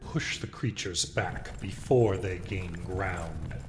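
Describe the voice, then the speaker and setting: A man speaks in a put-on character voice with a very deep, low pitch at a fairly slow pace. Background noise is clearly heard. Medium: machinima. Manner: solemn, commanding.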